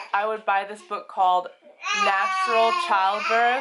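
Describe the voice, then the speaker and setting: A raised, projected voice with an American accent speaks at a fairly slow pace over noticeable background noise. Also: woman. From United States. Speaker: housewife and birth educator. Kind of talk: casual talk to camera. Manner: rambling, stream of consciousness.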